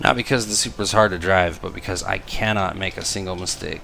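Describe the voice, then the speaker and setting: A quiet man with fairly even intonation, amid noticeable background noise. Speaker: gaming youtuber. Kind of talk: gameplay commentary. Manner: quiet while concentrating.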